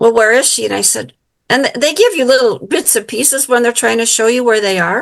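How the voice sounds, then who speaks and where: A woman with an American accent and an unremarkable speaking voice talks at a fairly quick pace in a fairly high pitch. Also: ordinary pitch variation. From US Midwest, Illinois. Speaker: psychic medium and author. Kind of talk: interview testimony.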